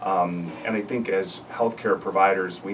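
There is noticeable background noise behind the speaker. A man talks at a fairly low pitch. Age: 50s. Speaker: family physician. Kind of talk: panel discussion. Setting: radio studio.

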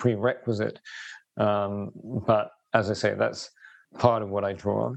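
A man speaks with a southern English accent. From southeast England, East Sussex. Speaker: urban resilience and sustainability consultant. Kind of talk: interview conversation. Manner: hesitant, many fillers.

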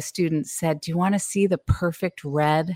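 Recorded very cleanly with a silent background and a dry, close sound with no echo, a woman with a Californian accent speaks in a fairly low pitch with ordinary pitch variation. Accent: General American, Californian. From US West Coast, San Francisco Bay Area. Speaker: painter and author. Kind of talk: interview.

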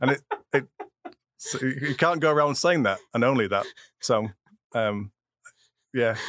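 This man's voice sits at medium pitch with a bright, sharp tone and ordinary pitch variation. He talks at a moderate pace, and the sound is dry and close with no echo. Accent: Yorkshire. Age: 50s. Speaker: immigrant guest, IT worker. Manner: halting, hesitant.

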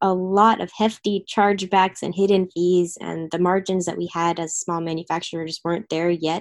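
A normal speaking voice from a woman with an American accent, medium pitch, ordinary pitch variation and a moderate pace. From US Northeast, Philadelphia area. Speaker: food distribution startup co-founder. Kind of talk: interview. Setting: video call.

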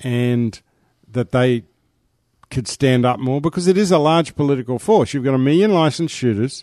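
His voice has a dark, mellow tone at a medium pitch. This man, in an Australian accent, talks at a moderate pace with lively intonation. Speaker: shooters' association representative. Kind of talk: interview.

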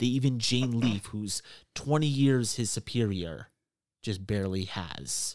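Recorded very cleanly against a silent background with a dry, close sound and no echo, a man speaks at a medium pitch with ordinary pitch variation in an unremarkable speaking voice. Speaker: game master. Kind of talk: tabletop role-play session.

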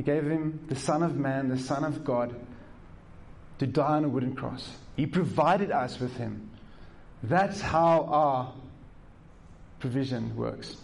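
Audible room echo follows a man with a fairly high pitch. He talks at a fairly slow pace, with long, frequent pauses. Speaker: pastor. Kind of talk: sermon. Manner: animated, emphatic preaching with repetition; conversational, direct address to the congregation.

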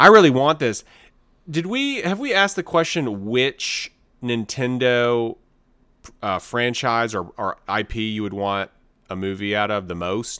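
The intonation is lively and the tone bright and sharp, at a fairly slow pace. The recording is very clean, with a silent background. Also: man, medium pitch for a man. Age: 40s. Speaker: podcast co-host. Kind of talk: casual chat.

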